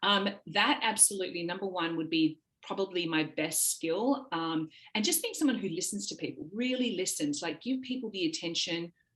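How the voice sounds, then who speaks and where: With an Australian accent, a woman speaks with lively intonation. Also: medium pitch for a woman, moderate pace. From Australia, Sydney. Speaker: talent agency founder. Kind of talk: podcast interview.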